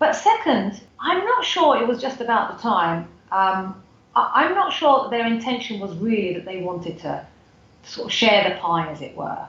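Speaking at a moderate pace in a British accent, a woman uses a fairly high pitch with very wide pitch swings. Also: big swings in loudness. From UK, Turkish parents. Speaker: foundation CEO. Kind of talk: interview conversation. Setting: remote call from Turkey.

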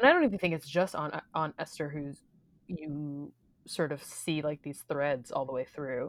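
Fairly even intonation in an American accent. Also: woman, very deep, low pitch for a woman, moderate pace. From Missouri, US Midwest. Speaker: theater podcast co-host. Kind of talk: casual chat.

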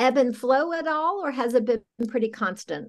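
Against a quiet background, a woman speaks with a high pitch at a moderate pace. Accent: American. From US South, South Carolina. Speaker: podcast host, nonprofit director. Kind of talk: interview conversation.

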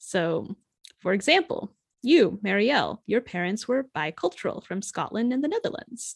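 Over a quiet background, a woman with an American accent uses a normal speaking voice, speaking at a moderate pace with lively intonation. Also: dry, close sound with no echo. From US Midwest, rural Ohio. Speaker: podcast host, author. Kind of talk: casual chat. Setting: podcast recording.

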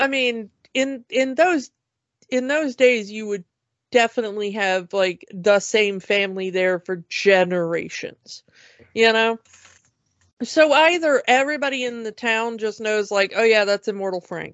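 A woman has a plain, everyday voice with an American accent and a fairly high pitch. She talks at a fairly slow pace with lively intonation. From US, Georgia. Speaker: podcast co-host. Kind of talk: casual chat.

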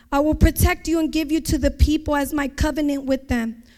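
A woman speaks in an American accent with fairly even intonation. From San Francisco, US. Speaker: church women's ministry speaker. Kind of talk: sermon. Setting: church.

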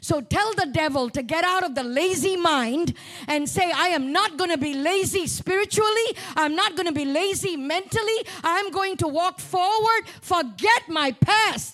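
Over noticeable background noise, a woman with an extremely high pitch speaks at a moderate pace in an animated tone. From Malaysia. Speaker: guest preacher and mental health speaker. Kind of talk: sermon. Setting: church.

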